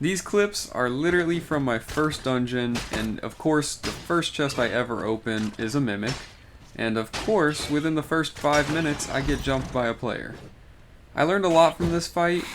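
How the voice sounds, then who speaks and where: Speaking at a moderate pace, a man with an unremarkable speaking voice uses lively intonation. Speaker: gaming youtuber. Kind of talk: scripted narration.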